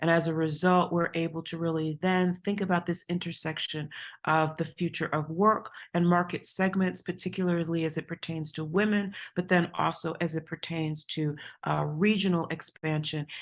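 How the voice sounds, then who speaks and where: A woman with a New York accent speaks in a fairly low, flat monotone against a quiet background. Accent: New York American. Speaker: university administrator. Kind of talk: conference presentation. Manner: fast.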